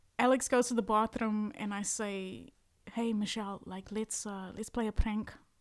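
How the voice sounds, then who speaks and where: Soft-spoken and flat in intonation, the voice moves at a moderate pace with big swings in loudness on a very clean recording with a silent background. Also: woman, fairly high pitch for a woman. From South Africa. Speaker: singer-songwriter. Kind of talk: casual chat.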